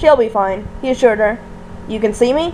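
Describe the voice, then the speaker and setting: Over clear background noise, a woman puts on a character voice, fairly high in pitch, at a fairly quick pace. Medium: read story.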